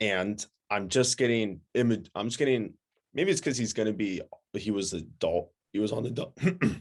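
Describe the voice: Using a put-on character voice, a man speaks hoarsely at a medium pitch. His intonation is lively and his pace moderate.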